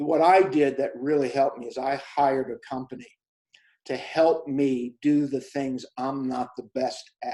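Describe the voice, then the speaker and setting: Here a man talks at a fairly slow pace. His pitch is fairly high, and his intonation is fairly even. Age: 60s. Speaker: self-published author. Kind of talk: interview. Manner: halting.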